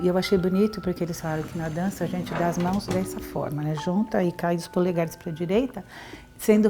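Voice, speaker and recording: A woman at medium pitch with ordinary pitch variation and a fairly quick pace, over noticeable background noise. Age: 60s. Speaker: university professor, heart attack survivor. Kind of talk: testimony.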